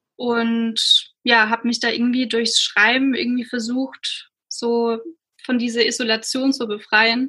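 Bright and sharp in tone, a woman speaks with a fairly high pitch at a fairly slow pace. Her intonation stays monotone and flat. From Swabia, near Stuttgart, Germany. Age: 20s. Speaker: blogger and writer. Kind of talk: casual interview conversation.

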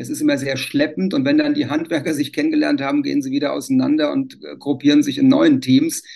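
Here a man speaks at a fairly quick pace. He leaves hardly any pauses. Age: 60s. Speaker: civil engineer, renovation association. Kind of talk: interview.

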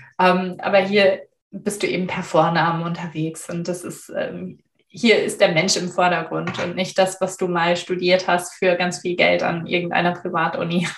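Her pitch sits fairly low for a woman. She speaks in a monotone, flat way. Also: moderate pace. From Germany. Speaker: storyteller and former translator. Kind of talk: interview.

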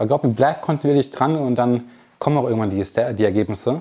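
A man speaks at a moderate pace and medium pitch, with ordinary pitch variation. His tone is dark and mellow. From Germany, Lower Rhine (NRW), near the Ruhr. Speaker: online marketing entrepreneur. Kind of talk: keynote talk to a live audience. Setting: stage with audience.

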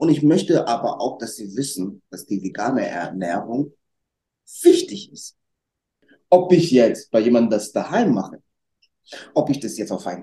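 Dark, mellow tone from a man at medium pitch, with very wide pitch swings and a moderate pace. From Germany, North Rhine-Westphalia (Lower Rhine area). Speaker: restaurant owner and trained educator. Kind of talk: interview chat. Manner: energetic.

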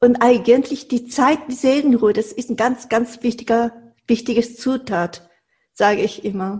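Her pitch is high. The woman speaks at a fairly slow pace. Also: ordinary pitch variation. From Japan, Tokyo. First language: Japanese (speaking German). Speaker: Japanese cooking teacher. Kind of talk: interview.

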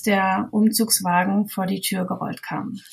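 A woman talks at a fairly slow pace in a somewhat breathy voice. Her pitch is medium and her intonation is monotone and flat. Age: 30s. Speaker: mother sharing her experience. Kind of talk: interview testimony.

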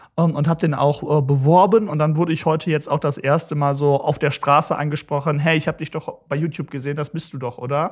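A man's fairly high-pitched, somewhat breathy voice at a very fast pace, with fairly even intonation and hardly any pauses, in a very clean recording over a silent background. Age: 20s. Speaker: young politician. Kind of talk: interview.

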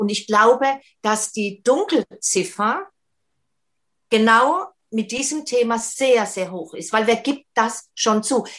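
Fairly high-pitched woman's voice, an unremarkable speaking voice, its pitch varying in an ordinary way. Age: 50s. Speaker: single and relationship coach. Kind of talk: casual chat.

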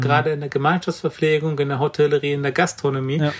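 A man speaks in a fairly high, somewhat breathy voice. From Brandenburg, eastern Germany. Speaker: vegan chef and cookbook author. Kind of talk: interview.

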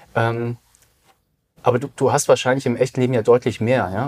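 This man's somewhat breathy, medium-pitched voice moves at a fairly quick pace, with a dry, close sound and no echo. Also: very clean recording, silent background. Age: 40s. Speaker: digital business consultant. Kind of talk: casual interview.

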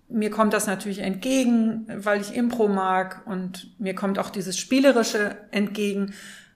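In a room with audible echo, a woman speaks fairly slowly with monotone, flat intonation. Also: medium pitch for a woman. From northern Germany. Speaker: podcast co-host. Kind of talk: podcast interview.

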